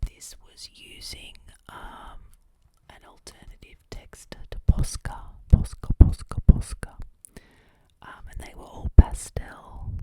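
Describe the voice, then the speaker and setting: With long, frequent pauses, a whispering voice moves at a very slow pace. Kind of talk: ASMR whisper video; casual talk to camera. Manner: whispered, soft-spoken.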